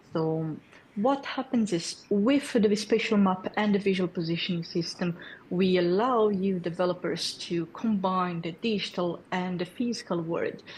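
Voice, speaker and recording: Somewhat breathy, this voice shows ordinary variation in pitch. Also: woman, medium pitch for a woman, fairly slow pace. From Brazil. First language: Portuguese. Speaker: developer community lead. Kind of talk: tech presentation. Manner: hesitant with fillers.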